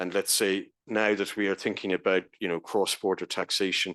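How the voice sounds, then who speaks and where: A man talks at a moderate pace with an Irish accent. The background is quiet. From Ireland. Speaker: professor. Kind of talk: conference presentation.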